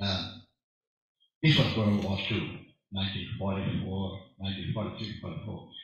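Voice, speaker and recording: A man speaks at a moderate pace in a fairly low, somewhat breathy voice with ordinary pitch variation and long, frequent pauses, with audible room echo around him. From Hawaii, Maui. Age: 80s+. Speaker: audience member. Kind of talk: personal testimony.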